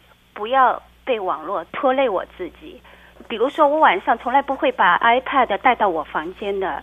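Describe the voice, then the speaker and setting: With a high pitch and very wide pitch swings, a woman talks at a fairly slow pace. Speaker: blogger and childcare worker. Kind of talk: interview.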